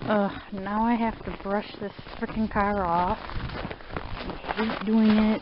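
A woman speaks very slowly at a fairly high pitch, her intonation monotone and flat. Noticeable background noise runs behind her. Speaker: vlogger. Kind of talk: casual vlog.

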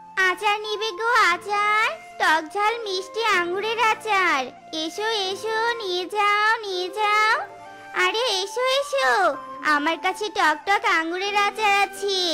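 In a put-on character voice, a female-sounding speaker talks at a fairly slow pace and an extremely high pitch over clear music in the background. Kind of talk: market hawker call.

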